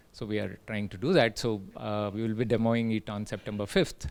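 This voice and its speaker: A man with an Indian accent, medium pitch, and a moderate pace. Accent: Indian English, Telugu. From India, Telugu-speaking. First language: Telugu. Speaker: tech entrepreneur, invited speaker. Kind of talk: invited talk. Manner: hesitant, many fillers.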